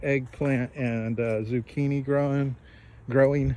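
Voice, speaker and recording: A man talks fairly slowly at a fairly high pitch. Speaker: homesteader. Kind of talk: casual video tour. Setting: outdoors. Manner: halting, many fillers.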